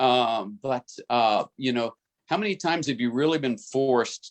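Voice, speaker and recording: A man speaks at a moderate pace and medium pitch, with ordinary pitch variation. It is an ordinary speaking voice, with a dry, close sound and no echo. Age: 60s. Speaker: business team member, former international banker. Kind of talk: group video call discussion. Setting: group call.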